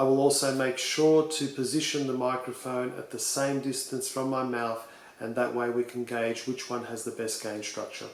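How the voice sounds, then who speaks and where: A man at a medium pitch with an Australian accent, monotone, flat intonation, a moderate pace and hardly any pauses, amid audible room echo and noticeable background noise. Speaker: tech reviewer. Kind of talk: tutorial.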